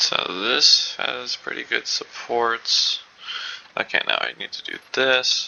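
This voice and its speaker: Amid noticeable background noise, a man talks at a very slow pace with big swings in loudness. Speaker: gaming video creator. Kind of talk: gameplay commentary. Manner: soft-spoken.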